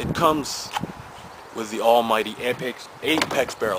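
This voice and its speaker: Fairly even intonation against noticeable background noise. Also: man. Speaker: paintball gear reviewer. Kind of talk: casual product review chat. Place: garden.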